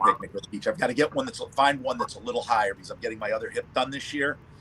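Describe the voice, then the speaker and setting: A man is speaking with ordinary pitch variation. There is noticeable background noise. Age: 50s. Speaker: livestream panel participant, cigar and whiskey enthusiast. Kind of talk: casual chat.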